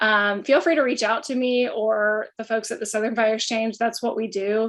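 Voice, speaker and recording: Against a quiet background, a woman with an unremarkable speaking voice talks at a moderate pace, her pitch fairly high and her intonation fairly even. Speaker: fire communications specialist. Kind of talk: panel Q&A.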